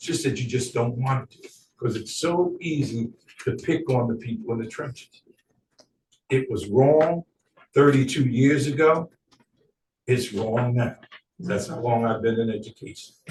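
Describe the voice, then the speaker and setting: Somewhat breathy and medium in pitch, a man talks with long, frequent pauses and big swings in loudness. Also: ordinary pitch variation, fairly slow pace. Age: 60s. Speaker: educator speaking at public comment. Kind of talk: public comment.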